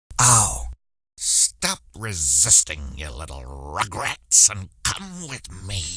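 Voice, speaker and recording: In a put-on character voice, a man speaks very slowly at a very deep, low pitch on a very clean recording with a silent background. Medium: video game. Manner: gloating, theatrical.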